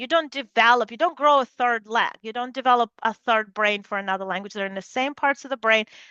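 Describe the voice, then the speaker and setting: A woman speaks with a Russian accent. Her pitch sits fairly high and varies in an ordinary way. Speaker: neuroscience researcher. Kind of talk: lecture.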